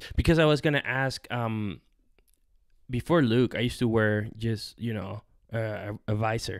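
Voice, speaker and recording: A man's unremarkable speaking voice at medium pitch, moderate pace and ordinary pitch variation, against a quiet background. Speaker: podcast host. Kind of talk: casual interview. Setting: in person at company headquarters. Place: office. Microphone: studio mic.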